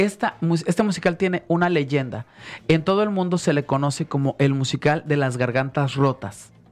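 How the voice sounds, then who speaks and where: Keeping his loudness very even, a man speaks at a fairly high pitch and a moderate pace with ordinary pitch variation. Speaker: singer; guest, actor. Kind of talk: radio interview; interview answer. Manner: halting. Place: studio. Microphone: studio mic.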